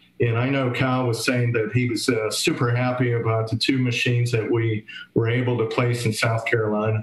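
A man's flat, monotone voice at a very even loudness, with audible room echo. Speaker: charity organizer running a raffle. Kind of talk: live stream raffle drawing. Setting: live stream. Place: home room. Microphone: webcam.

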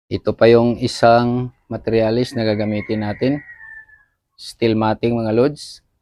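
Speaking fairly slowly, the man holds a medium pitch in a monotone, flat intonation. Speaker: DIY YouTuber. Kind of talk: tutorial. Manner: casual, with fillers.

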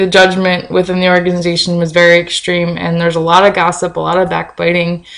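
A woman mumbles her words. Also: quiet background. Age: 20s. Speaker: video blogger. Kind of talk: casual vlog chat. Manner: tends to mumble. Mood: earnest, cautionary. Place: kitchen. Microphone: webcam.

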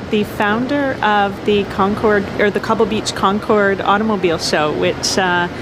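A woman speaks at a moderate pace over noticeable background noise. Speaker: vlogger, interviewer. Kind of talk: casual vlog chat. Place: hall. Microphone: phone near.

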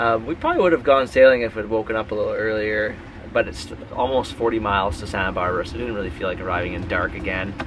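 Over noticeable background noise, a man talks at a very fast pace with a fairly low pitch. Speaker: sailing vlogger. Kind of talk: casual vlog chat. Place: boat. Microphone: phone near.

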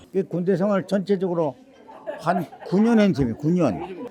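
A fairly quick pace over crowd noise in the background. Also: man. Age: 80s+. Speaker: war veteran. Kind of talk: life story interview. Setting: at home. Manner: halting.

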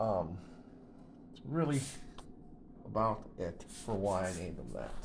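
Very deep, low male speech with vocal fry and lively intonation at a fairly slow pace. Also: big swings in loudness. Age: 50s. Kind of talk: casual product show-and-tell voice-over. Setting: home kitchen.

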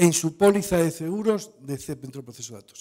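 The man has a high pitch and a dark, mellow tone with ordinary pitch variation. He talks at a moderate pace over a quiet background. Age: 60s. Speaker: conference speaker, standards body representative; conference speaker. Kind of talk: Q&A answer at conference talk. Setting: conference stage with audience. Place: hall. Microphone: podium.

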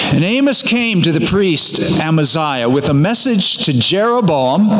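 Music plays in the background as a man speaks at a fairly slow pace with very wide pitch swings. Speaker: pastor. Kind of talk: sermon. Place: church. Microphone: podium.

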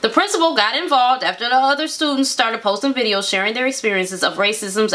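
The woman's pitch swings very widely as she talks. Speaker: show co-host. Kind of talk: reading news story with commentary. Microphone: camera far.

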